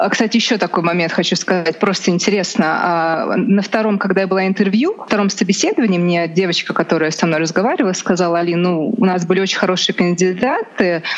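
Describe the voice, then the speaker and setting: A woman with a Russian accent talks very fast in a medium-pitched voice, with hardly any pauses and fairly even intonation. There is noticeable background noise. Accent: Russian accent in English, permanent. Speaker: lawyer. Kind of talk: interview conversation.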